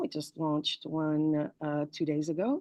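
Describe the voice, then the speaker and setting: A woman's fairly low voice with a French-Canadian accent, dry and close with no echo. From Morocco. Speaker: PR agency owner. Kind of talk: interview.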